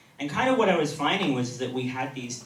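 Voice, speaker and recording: Noticeable background noise and audible room echo surround a man as he talks. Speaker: conference speaker. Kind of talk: conference talk. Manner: fast.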